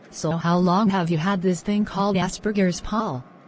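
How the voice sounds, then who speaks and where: A woman puts on a growling character voice at a medium pitch and a moderate pace, with very even loudness and fairly even intonation. Background noise is clearly heard. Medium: short film.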